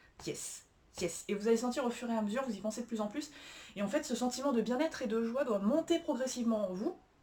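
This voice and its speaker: Fairly high for a woman yet dark and mellow in tone, her voice races along at a very fast pace. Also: ordinary pitch variation. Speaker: self-help coach. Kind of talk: tutorial. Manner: hesitant, many fillers.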